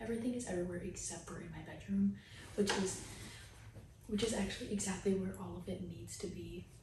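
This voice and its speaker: A soft-spoken woman is heard with audible room echo. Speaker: lifestyle vlogger. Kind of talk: casual vlog. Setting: new apartment at night.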